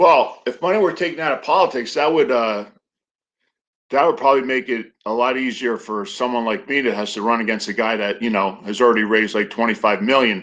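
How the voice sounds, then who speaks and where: In a quiet background, a man with a medium pitch talks at a fairly quick pace with lively intonation. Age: 50s. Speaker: congressional candidate and actor. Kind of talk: interview. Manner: hesitant, many fillers and repetitions.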